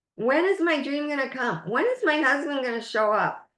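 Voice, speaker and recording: A woman puts on a whiny character voice at a high pitch. She speaks at a moderate pace. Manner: whining; complaining.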